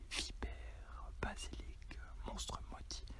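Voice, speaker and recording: Whispering over noticeable background noise. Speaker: ASMR reader. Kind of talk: ASMR story reading. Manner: whispered.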